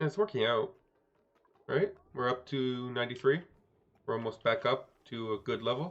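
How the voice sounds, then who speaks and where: With a Quebec accent, a man speaks at a medium pitch and moderate pace using lively intonation and long, frequent pauses. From Quebec, Canada. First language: French. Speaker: video game streamer. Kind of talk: live gameplay commentary. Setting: live stream.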